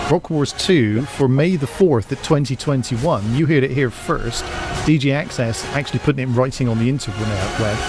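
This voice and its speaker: A man with a West Country accent at a moderate pace, ordinary pitch variation, and music in the background. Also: medium pitch for a man. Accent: British West Country. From West Country, England. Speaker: DJ and radio host. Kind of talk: casual chat.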